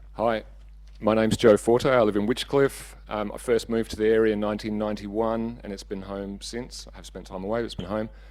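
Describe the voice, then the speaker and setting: A man with an Australian accent speaks at a fairly quick pace, his loudness swinging widely. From Western Australia, Margaret River region. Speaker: council candidate. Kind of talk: candidate speech.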